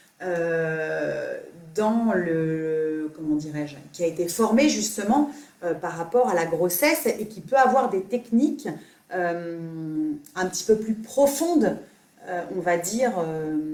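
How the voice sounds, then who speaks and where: Over noticeable background noise, a woman with a fairly low voice speaks very slowly, her pitch swinging very widely. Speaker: yoga teacher. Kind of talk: live Q&A stream. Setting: live video stream. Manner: not soft-spoken; halting, many fillers.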